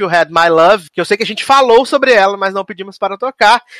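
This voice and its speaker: A bright, sharp tone at a fairly quick pace, with ordinary pitch variation and a dry, close sound with no echo. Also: man. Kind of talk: radio dj patter. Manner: chatty, jokey.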